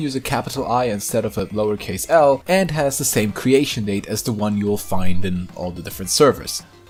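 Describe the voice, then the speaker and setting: With a German accent, the speaker moves at a fairly quick pace, pitch swinging very widely, as music plays in the background. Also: man. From Germany. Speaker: YouTuber, drama commentator. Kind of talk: commentary video narration. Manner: casual.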